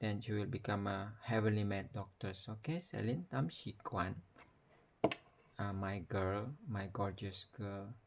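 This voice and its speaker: A man with a non-native accent speaks at a fairly low pitch. His voice is somewhat breathy and his pace fairly slow. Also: ordinary pitch variation. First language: not English. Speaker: video blogger. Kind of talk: personal video message. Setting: talking to camera. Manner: halting.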